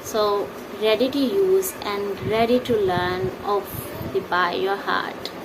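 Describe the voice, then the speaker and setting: Amid noticeable background noise and audible room echo, a woman with a non-native accent talks at a very slow pace and medium pitch with ordinary pitch variation. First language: not English. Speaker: English teacher. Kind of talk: tutorial. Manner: halting.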